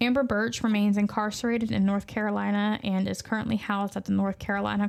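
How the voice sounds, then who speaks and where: A woman talks at a very fast pace in a Southern US accent. Her pitch is medium. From US South. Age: parent. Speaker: true crime podcast host. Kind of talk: casual chat.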